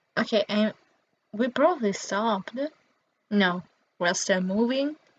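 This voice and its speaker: In an Italian accent, a woman speaks at a very slow pace. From Italy. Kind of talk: casual gameplay commentary.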